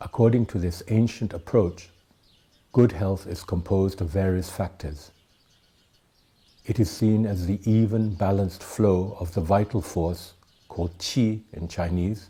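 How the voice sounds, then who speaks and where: A man speaks at a fairly slow pace with long, frequent pauses, his very deep, low voice somewhat breathy and dark, mellow in tone. His intonation stays fairly even. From Thailand, educated in the UK. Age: 70s. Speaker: tai chi teacher. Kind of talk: talk to camera, then scripted explanation.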